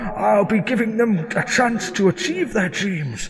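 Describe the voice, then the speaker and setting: Against clear background noise, a man does a put-on character voice pitched high, moving at a moderate pace. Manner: shouting, defiant.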